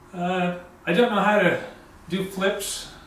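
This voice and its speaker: A man talks fairly slowly, his voice carrying audible room echo over noticeable background noise. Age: 70s. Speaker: karate instructor. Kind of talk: tutorial. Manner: hesitant, many fillers.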